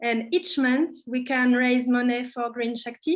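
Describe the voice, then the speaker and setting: This woman speaks with a French accent. Her pitch is high. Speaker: craft workshop leader. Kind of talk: casual online talk. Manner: halting.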